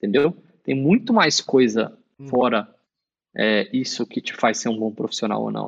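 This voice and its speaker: A man's voice at a fairly slow pace, broken by long, frequent pauses. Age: 30s. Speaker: esports coach. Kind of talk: interview.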